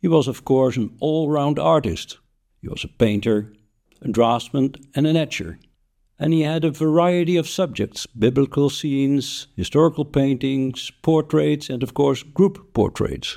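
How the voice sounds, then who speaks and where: Dark and mellow in tone, a man's fairly high voice moves at a fairly slow pace with ordinary pitch variation. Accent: Dutch. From Netherlands. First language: Dutch. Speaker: podcaster, history narrator. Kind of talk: scripted narration.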